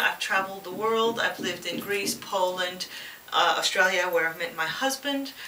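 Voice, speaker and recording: A woman talks with ordinary pitch variation amid noticeable background noise and audible room echo. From Quebec, Canada. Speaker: pet product reviewer. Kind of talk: casual vlog introduction. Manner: hesitant, many fillers.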